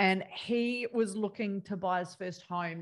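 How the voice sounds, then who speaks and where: The clip has an ordinary speaking voice with ordinary pitch variation. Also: woman. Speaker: podcast host and property investment coach. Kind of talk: casual interview.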